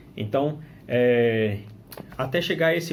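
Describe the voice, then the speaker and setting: A somewhat breathy man with a Minas Gerais accent, ordinary pitch variation, and audible room echo. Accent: Brazilian Portuguese (mineiro). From Brazil, northern Minas Gerais. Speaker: religious teacher, returned missionary. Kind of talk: scripture study commentary. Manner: hesitant with fillers and restarts.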